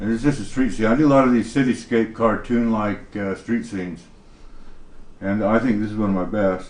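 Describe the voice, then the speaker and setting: A man speaks at a fairly quick pace in a fairly low pitch. His intonation is fairly even, and room echo is audible. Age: 50s. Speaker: painter with schizophrenia. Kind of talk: interview testimony.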